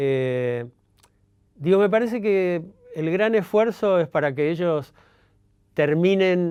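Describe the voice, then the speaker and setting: A man speaks very slowly with a Rioplatense accent. The background is quiet. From Argentina, Buenos Aires. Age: 70s. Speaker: journalist and writer. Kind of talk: interview monologue. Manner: halting, many fillers.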